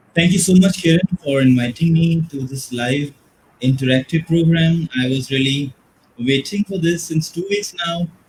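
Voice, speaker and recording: A quiet man's voice has a fairly high pitch and ordinary pitch variation. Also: moderate pace. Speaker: teacher educator. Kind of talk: webinar presentation. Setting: live online webinar. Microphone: too quiet.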